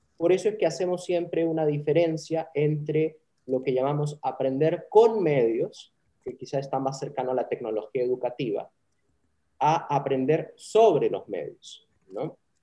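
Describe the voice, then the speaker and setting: Dark and mellow in tone, a man's voice sits fairly high in pitch and moves at a fairly slow pace with ordinary pitch variation. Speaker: communication professor. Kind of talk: interview.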